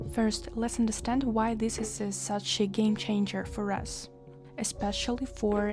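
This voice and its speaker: A fairly slow voice with a non-native accent, music playing in the background. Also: woman. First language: Russian. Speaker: English teacher. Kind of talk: tutorial. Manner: hesitant with fillers.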